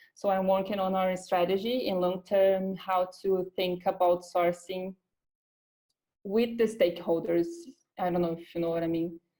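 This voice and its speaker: Her intonation flat and monotone, a woman speaks with a dark, mellow tone. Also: medium pitch for a woman, moderate pace. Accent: Brazilian Portuguese. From Brazil. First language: Portuguese. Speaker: recruiter. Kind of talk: interview. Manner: halting.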